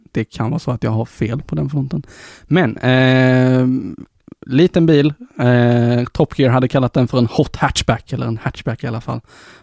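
A man with an unremarkable speaking voice talks at a medium pitch and moderate pace, with ordinary pitch variation and a dry, close sound with no echo. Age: 20s. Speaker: tech podcast host. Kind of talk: casual chat. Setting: studio.

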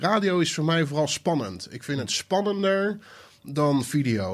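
Very wide pitch swings in a fairly high male voice. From Netherlands, Maassluis area (South Holland). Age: 30s. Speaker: DJ and music producer. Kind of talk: casual chat. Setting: home studio.

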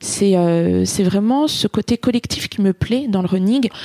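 A woman speaks in an ordinary speaking voice at medium pitch, with ordinary pitch variation. The sound is dry and close, with no echo. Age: 30s. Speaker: running club captain. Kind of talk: interview testimony.

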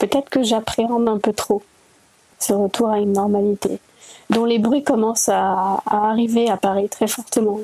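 A woman's fairly high voice, fairly even in intonation and very even in loudness, at a fairly slow pace, with a dry, close sound and no echo. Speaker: listener contributor. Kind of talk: personal audio diary. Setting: outdoors.

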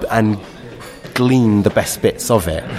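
Over noticeable background noise, a man speaks at a fairly slow pace. His pitch is fairly low and his intonation fairly even. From London (Kentish Town). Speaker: folk singer. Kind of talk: casual interview chat. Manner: halting, repeats words.

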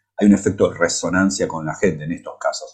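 A man talks with an Argentine accent. His pace is moderate. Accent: Argentine Spanish (Rioplatense). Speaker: physics professor. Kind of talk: casual chat. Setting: improvised remote connection while on vacation.

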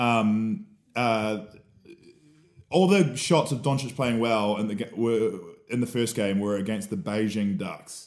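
Energetic male voice at medium pitch with a New Zealand accent, ordinary pitch variation, and long, frequent pauses. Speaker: sports podcast co-host. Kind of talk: casual chat.

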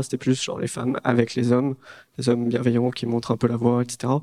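A man's voice at medium pitch carries a dark, mellow tone. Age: 20s. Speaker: startup co-founder. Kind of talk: talk to an audience.

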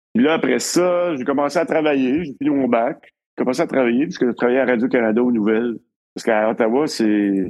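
Fairly quick speech in a Quebec accent. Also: man, medium pitch for a man, ordinary pitch variation. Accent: Québécois French. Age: 60s. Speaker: cinematographer. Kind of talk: casual chat.

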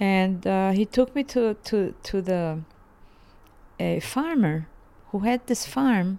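With a Bosnian accent, the speaker uses a dark, mellow tone and lively intonation at a very slow pace, leaving long, frequent pauses. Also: woman, medium pitch for a woman. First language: Ladino or Bosnian. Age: 80s. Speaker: folk singer. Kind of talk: interview, personal life story. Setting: living room at home.

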